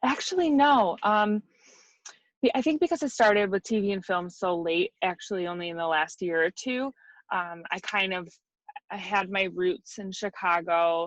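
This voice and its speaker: With a Midwestern US accent, a woman of medium pitch talks with lively intonation. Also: moderate pace, dry, close sound with no echo. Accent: US Midwest. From Michigan, near Detroit. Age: 30s. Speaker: wig designer and makeup artist. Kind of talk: interview.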